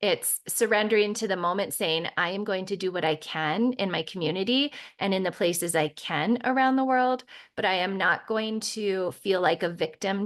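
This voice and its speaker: A woman with an unremarkable speaking voice, medium in pitch, with ordinary pitch variation at a moderate pace. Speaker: spiritual podcast host. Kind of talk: podcast monologue.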